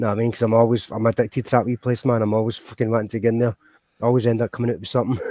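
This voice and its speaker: Speaking very fast in a Glaswegian accent, a man has a medium-pitched voice with a dark, mellow tone and a dry, close sound with no echo. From Scotland, Glasgow. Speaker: livestream host. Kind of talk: casual chat. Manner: animated.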